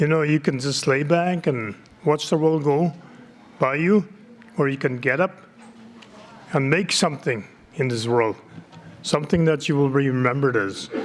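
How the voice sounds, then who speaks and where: Taking long, frequent pauses, a man with a fairly high pitch talks at a moderate pace, keeping very even loudness and ordinary pitch variation. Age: 60s. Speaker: community politician. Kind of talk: conference speech.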